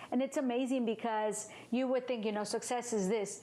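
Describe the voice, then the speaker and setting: A woman talks with a high pitch and fairly even intonation. Noticeable background noise runs underneath. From Mission, Texas (born in Mexico). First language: Spanish. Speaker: engineer and podcaster. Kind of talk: interview. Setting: recorded in a home.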